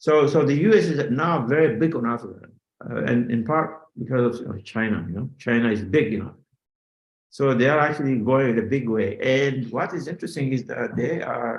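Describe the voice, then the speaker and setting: A man speaks with a non-native accent at a medium pitch. His pace is moderate, with ordinary pitch variation. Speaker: finance professor. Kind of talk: interview. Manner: halting, many fillers.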